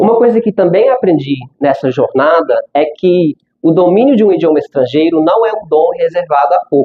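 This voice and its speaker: Speaking at a moderate pace, a man uses a high pitch with lively intonation. His loudness stays very even. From United States. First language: English (speaking Portuguese). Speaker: language school founder, speaker. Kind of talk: conference talk. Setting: stage with audience.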